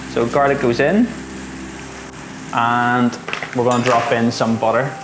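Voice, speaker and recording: A man speaks at a medium pitch in a flat, monotone way, his loudness very even. The room echo is audible and background noise is noticeable. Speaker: home cook. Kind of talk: cooking tutorial. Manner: fast.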